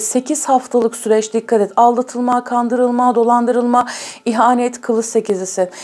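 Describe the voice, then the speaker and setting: A woman speaks with a high pitch at a moderate pace. Noticeable background noise runs behind her. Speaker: tarot reader. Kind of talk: tarot reading to viewers.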